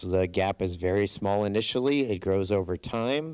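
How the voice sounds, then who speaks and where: A man speaks in a plain, everyday voice, pitched fairly low, with ordinary pitch variation. The recording is very clean, with a silent background. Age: 60s. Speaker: borough mayor. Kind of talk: conference presentation.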